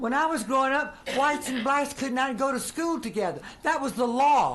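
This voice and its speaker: A woman talks at a moderate pace in an American accent. Her pitch is high, with ordinary variation. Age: 80s+. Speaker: political activist. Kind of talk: legislative hearing testimony. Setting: committee hearing room. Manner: unscripted, speaking from the heart.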